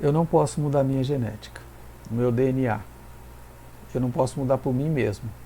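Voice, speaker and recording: Long, frequent pauses break up a man's speech at a moderate pace. His pitch is medium, with ordinary variation. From Brazil, São Paulo. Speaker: pastor. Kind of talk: sermon. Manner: halting.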